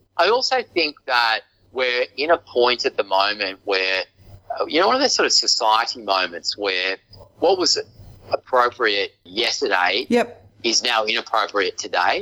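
In an Australian accent, a man talks in a dry, close sound with no echo. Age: 50s. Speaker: real estate agency owner. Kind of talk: interview. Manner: halting.

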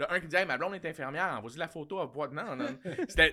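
Speaking at a very fast pace in a Quebec accent, a man uses a fairly high pitch with vocal fry. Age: 40s. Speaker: comedian. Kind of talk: casual chat.

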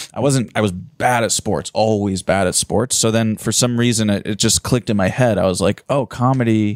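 Recorded very cleanly against a silent background, the sound is dry and close with no echo. A man with an unremarkable speaking voice talks at a fairly low pitch and a moderate pace, with fairly even intonation, very even loudness and hardly any pauses. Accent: American. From US, Philadelphia. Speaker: stand-up comedian. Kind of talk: casual chat.

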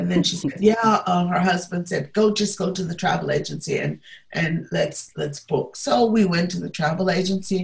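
Somewhat breathy, a woman with an American accent speaks at a fairly slow pace and fairly low pitch, with ordinary pitch variation. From US South, Atlanta. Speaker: civil rights movement figure. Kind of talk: interview. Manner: halting.

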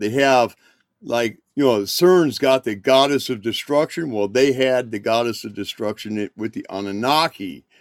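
A man speaks at a moderate pace in a plain, everyday voice. The sound is dry and close with no echo, and his pitch varies in an ordinary way. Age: 60s. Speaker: podcast guest. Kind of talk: casual chat.

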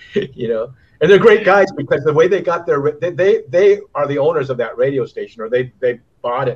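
A man with an American accent and an ordinary speaking voice, fairly high in pitch, fairly quick in pace, with lively intonation. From US West Coast. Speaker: retired professional surfer. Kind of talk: interview. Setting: remote call.

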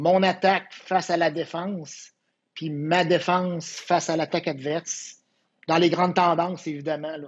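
A man in a Quebec accent, high-pitched and monotone with flat intonation, at a fairly slow pace. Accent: Québécois French. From Quebec (Quebec City area). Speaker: volleyball coach. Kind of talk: casual interview.

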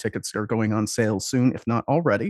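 A man with an American accent speaks at a medium pitch, with a dry, close sound free of echo and a quiet background. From Superior, Wisconsin (upper Midwest). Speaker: podcast co-host. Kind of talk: casual interview. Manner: laughs often.

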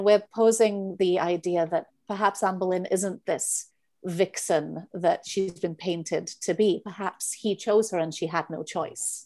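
A woman with a Welsh accent, dark and mellow in tone, medium in pitch, fairly slow and fairly even in intonation, against a quiet background. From Wales. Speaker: playwright and director. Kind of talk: casual interview.

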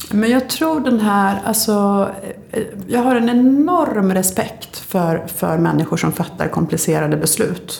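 A woman's voice at a fairly slow pace, lively in intonation and very even in loudness, amid audible room echo and noticeable background noise. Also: medium pitch for a woman. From Sweden, Linköping (Östergötland). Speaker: politician and author. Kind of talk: interview conversation.

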